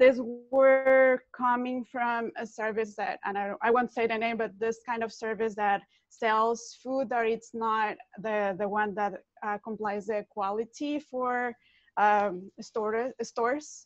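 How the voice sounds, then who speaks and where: A fairly high-pitched woman at a very slow pace, fairly even in intonation, in a quiet background with a dry sound and no echo. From Mexico. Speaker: artist and researcher; project co-creator. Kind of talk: panel discussion on video call. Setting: video call, in her kitchen. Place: kitchen. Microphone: earbuds.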